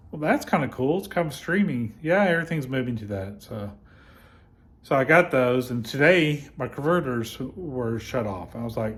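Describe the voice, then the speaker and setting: A man with a medium pitch and a somewhat breathy voice speaks at a moderate pace with lively intonation. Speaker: vlogger. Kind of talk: casual chat. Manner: halting; over-enunciating.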